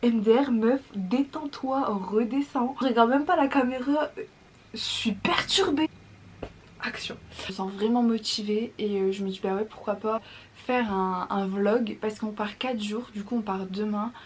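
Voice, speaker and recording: Over noticeable background noise, a woman's fairly high voice moves with ordinary pitch variation. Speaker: vlogger. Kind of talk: casual vlog talk to camera. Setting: at home, early morning. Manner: fast; keeping voice down.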